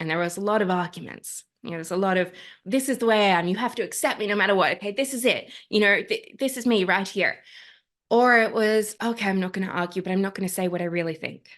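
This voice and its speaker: A woman at a medium pitch with an Australian accent, very fast pace and ordinary pitch variation against a quiet background. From Australia, Sydney. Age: young. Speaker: climate activist and life coach. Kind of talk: interview.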